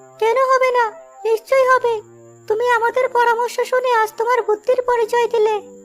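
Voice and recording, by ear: A cartoonish character voice speaks at a moderate pace. Clear music plays in the background.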